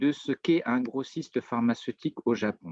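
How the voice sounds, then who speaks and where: The speaker is a man at a medium pitch. His pace is fairly slow. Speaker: business consultant presenting on Japanese market. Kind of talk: webinar presentation. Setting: video call webinar.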